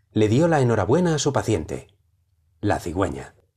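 A man with a fairly low, dark, mellow voice sounds somewhat breathy. He moves at a moderate pace with very wide pitch swings. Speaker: audiobook narrator. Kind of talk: dramatic narration of flash fiction.

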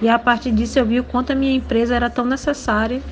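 A woman's flat, monotone delivery over noticeable background noise. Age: 20s. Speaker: entrepreneur and educator. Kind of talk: personal testimony.

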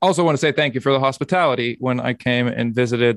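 The speech has ordinary pitch variation. The background is quiet. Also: man. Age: 30s. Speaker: podcast host. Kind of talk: casual chat.

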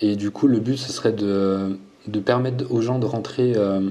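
This man's pitch is fairly low, with ordinary pitch variation. He talks at a fairly slow pace. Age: 30s. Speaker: fitness coach and YouTuber. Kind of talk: casual interview.

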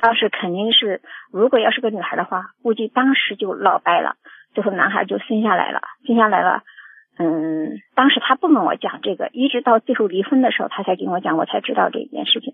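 Speaking at a fairly quick pace, a woman uses a fairly high voice. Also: lively intonation. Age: 50s. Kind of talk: phone-in call. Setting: phone call. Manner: halting.

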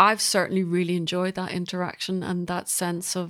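A woman with a Northern Irish accent speaks at a medium pitch in a very clean recording with a silent background. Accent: Northern Irish (Belfast). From Northern Ireland, Belfast. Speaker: composer. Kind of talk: interview conversation.

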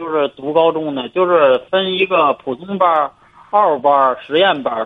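With lively intonation, a man speaks at a fairly slow pace in a fairly high pitch. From Hebei, China. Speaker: caller, parent. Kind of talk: phone-in advice call. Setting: phone call. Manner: halting.

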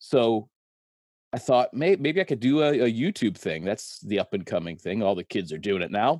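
In a dry, close sound with no echo and a quiet background, a man at medium pitch speaks at a moderate pace with very wide pitch swings. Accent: American. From Connecticut. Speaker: construction worker and YouTuber. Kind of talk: casual chat.

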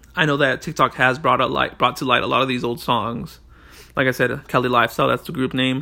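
This man talks at a fairly quick pace with a medium pitch, fairly even intonation, and vocal fry. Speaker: podcast host. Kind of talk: casual monologue. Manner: rambling, filler-heavy.

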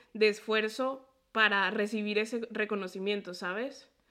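A woman talks at a very slow pace. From Mexico (near Puebla) and Colombia. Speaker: podcast host and medical student. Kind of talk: interview conversation.

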